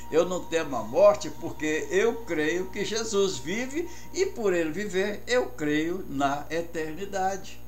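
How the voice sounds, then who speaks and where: Music plays in the background with audible room echo. A man talks at a very slow pace. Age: 80s+. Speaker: pastor. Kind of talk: radio sermon. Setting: radio broadcast.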